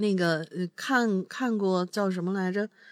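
The woman's voice has a medium pitch. It rises and falls with ordinary variation. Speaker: co-host. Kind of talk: casual chat, reading listener stories.

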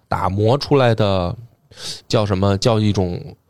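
A man speaks in a fairly low pitch. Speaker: history podcaster and novelist. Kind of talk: casual discussion.

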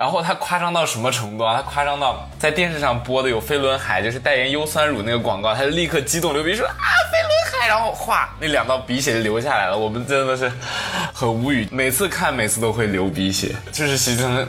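A man's medium-pitched voice at a fairly quick pace with lively intonation, plus music in the background and audible room echo. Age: 20s. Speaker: trainee idol and university student. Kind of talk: casual chat.

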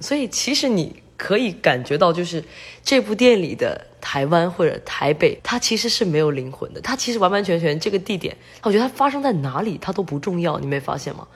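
At a fairly quick pace, a woman talks with very wide pitch swings. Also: medium pitch for a woman. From mainland China. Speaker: film student. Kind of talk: casual film discussion.

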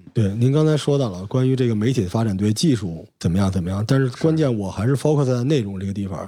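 A man speaks at a fairly quick pace in a dark, mellow tone, his pitch sitting at a medium level with very wide swings. The recording is very clean, with a silent background. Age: middle-aged. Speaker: podcast host with media background. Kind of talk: casual chat.

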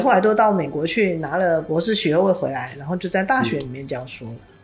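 A woman talks at a fairly quick pace with a fairly low pitch. Her pitch swings very widely, and there is noticeable background noise. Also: big swings in loudness. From Taiwan. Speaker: university teacher. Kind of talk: interview conversation.

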